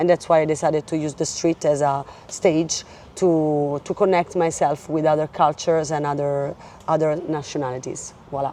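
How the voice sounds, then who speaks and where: A woman with an Italian accent speaks at a very deep, low pitch and a moderate pace. Her tone is dark and mellow, and her intonation is a flat monotone. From Italy. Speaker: singer and street artist. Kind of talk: casual interview. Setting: outdoors in a park.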